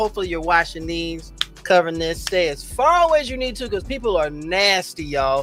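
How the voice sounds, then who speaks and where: The speaker sounds animated, with very wide pitch swings, and music plays in the background. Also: man. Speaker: livestream host. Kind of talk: casual livestream chat. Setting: livestream. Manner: loud.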